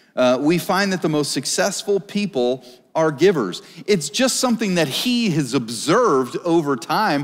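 Very wide pitch swings run through speech at a moderate pace over a quiet background. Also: man, high pitch for a man. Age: 40s. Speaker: pastor. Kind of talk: sermon. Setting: church stage with live audience. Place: church.

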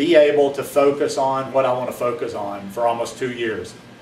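There is audible room echo and light background noise as a man talks at a fairly quick pace, medium in pitch with ordinary pitch variation. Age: 50s. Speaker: vlogger; lifestyle vlogger. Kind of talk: casual monologue. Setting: at home, rainy afternoon. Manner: hesitant, many fillers. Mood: reflective, earnest. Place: home room. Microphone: camera far.

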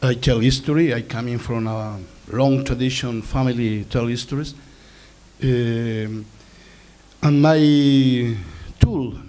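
With an Easter Island accent, a man talks at a very slow pace with long, frequent pauses, fairly even intonation, and a dark, mellow tone. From Easter Island (Rapa Nui). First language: Rapa Nui. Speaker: filmmaker; speaker. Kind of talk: panel talk. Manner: halting. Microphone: handheld.

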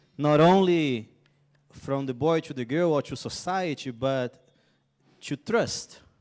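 A man speaks at a very slow pace with a fairly high pitch and a Brazilian accent. His long pauses come often, against a quiet background. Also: ordinary pitch variation. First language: Portuguese (speaking Spanish). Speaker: missionary speaker; speaker. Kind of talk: testimony. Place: stage. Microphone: handheld.

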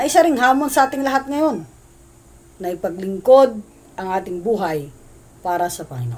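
A woman at medium pitch and moderate pace, with very wide pitch swings, big swings in loudness, and long, frequent pauses. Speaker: pastor. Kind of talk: sermon. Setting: livestream. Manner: formal.

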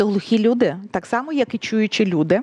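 Against a quiet background, a woman with a normal speaking voice talks at a medium pitch, the sound dry with no echo. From Ukraine. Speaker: sign language interpreter; guest. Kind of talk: interview. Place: studio. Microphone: headset.

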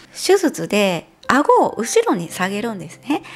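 A woman's pitch swings very widely as she talks at a fairly slow pace. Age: 40s. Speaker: beauty vlogger. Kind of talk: casual talk to camera. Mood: relaxed, cheerful. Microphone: lapel.

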